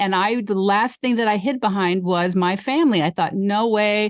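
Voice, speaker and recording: This is an unremarkable speaking voice with lively intonation. It moves at a moderate pace. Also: woman. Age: 60s. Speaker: podcast host, vegan life coach. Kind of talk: casual chat.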